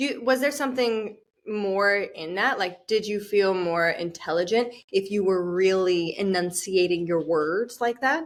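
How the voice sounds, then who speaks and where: A woman with an American accent talks at a fairly slow pace with hardly any pauses. Hers is an unremarkable speaking voice, medium in pitch, with ordinary pitch variation. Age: 30s. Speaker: accent coach. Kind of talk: casual interview.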